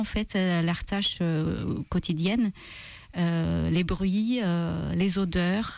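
A woman speaks at a very slow pace in a medium pitch. Her intonation is fairly even, and the recording is very clean with a silent background. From Malta. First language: Maltese (speaking French). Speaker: author and translator. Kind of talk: radio interview. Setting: radio studio. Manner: hesitant, many fillers and repetitions.

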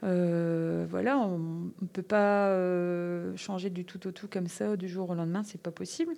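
A woman's medium-pitched voice with a dark, mellow tone at a very slow pace, over a quiet background. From French Flanders, northern France. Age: 40s. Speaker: aromatic herb farmer. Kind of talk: casual interview.

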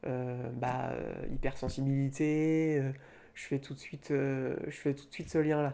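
Big swings in loudness mark a man's very slow, monotone, flat speech in a dark, mellow tone. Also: fairly high pitch for a man. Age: 20s. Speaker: shy young man interviewed about shyness. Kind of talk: intimate interview. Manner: halting; reserved, with nervous laughs.

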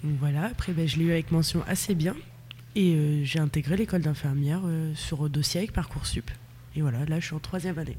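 At a fairly quick pace, a woman with a very deep, low pitch sounds somewhat breathy and shows ordinary pitch variation. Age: 20s. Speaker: nursing student. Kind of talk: casual interview. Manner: hesitant, many fillers.

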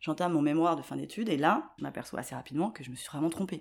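A woman's very deep, low voice with lively intonation and vocal fry, on a very clean recording with a silent background. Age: 40s. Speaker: aspiring video maker. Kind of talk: interview.

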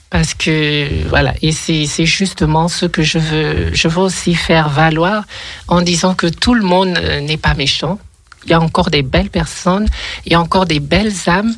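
Over noticeable background noise, a woman speaks at a fairly low pitch and a fairly slow pace. Her loudness stays very even and her intonation fairly even. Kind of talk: casual chat. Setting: studio. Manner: halting.

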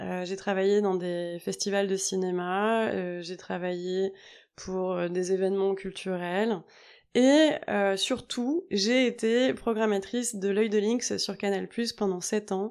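A woman at a very slow pace, her intonation fairly even. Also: medium pitch for a woman, very clean recording, silent background. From Normandy, France. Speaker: yoga teacher and podcast host. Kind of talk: solo podcast monologue. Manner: casual with frequent hesitations.

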